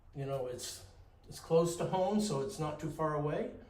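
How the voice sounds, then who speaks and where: With a Maine accent, a man speaks at a moderate pace and with lively intonation, over noticeable background noise and audible room echo. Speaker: painter. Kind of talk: casual interview. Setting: art gallery.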